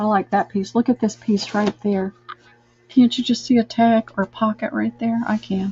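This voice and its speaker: Over music in the background, a woman with a fairly high pitch speaks at a moderate pace with fairly even intonation. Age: 60s. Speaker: online live sale host. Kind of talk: live sales stream chat. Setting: live video stream from a room, camera mic. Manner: chatty.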